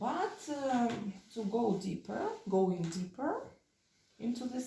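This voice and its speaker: In a Russian accent, a woman speaks very slowly with vocal fry and a dark, mellow tone, her pitch swinging very widely. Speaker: vlogger. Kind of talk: casual vlog talk. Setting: at home while cleaning. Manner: halting, many fillers.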